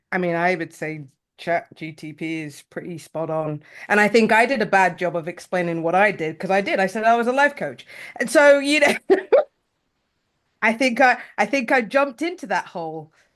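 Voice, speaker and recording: A woman at medium pitch with a British accent, very wide pitch swings, big swings in loudness and a moderate pace, over a quiet background. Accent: British accent, noted as funny. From United Kingdom. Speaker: life coach. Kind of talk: casual panel chat.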